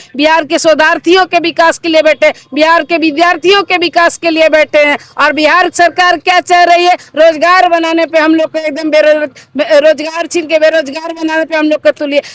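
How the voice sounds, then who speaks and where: A woman's extremely high-pitched, monotone, flat voice with hardly any pauses, in a dry, close sound with no echo. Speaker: Ph.D. candidate on hunger strike protest. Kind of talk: interview answer at protest site. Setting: outdoors.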